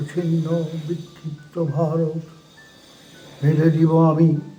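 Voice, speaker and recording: Over noticeable background noise, a man talks in a high voice. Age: 80s+. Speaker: poetry reciter. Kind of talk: poetry reading.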